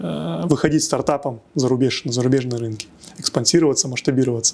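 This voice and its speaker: The man's pitch moves with ordinary variation. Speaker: tech hub executive. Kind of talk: podcast interview. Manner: hesitant, many fillers. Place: studio. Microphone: lapel.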